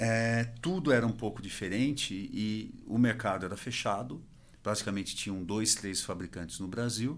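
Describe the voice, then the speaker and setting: At a moderate pace, a man in a normal speaking voice talks at medium pitch with ordinary pitch variation. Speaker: industry association executive. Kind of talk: interview.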